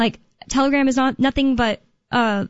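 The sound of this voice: With a General American accent, a woman speaks at a moderate pace with a high pitch, a clear, smooth tone, and fairly even intonation.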